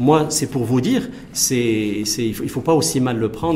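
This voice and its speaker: A man at a moderate pace and medium pitch, with ordinary pitch variation, amid audible room echo and noticeable background noise. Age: 40s. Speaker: engineer and business executive. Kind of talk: TV interview.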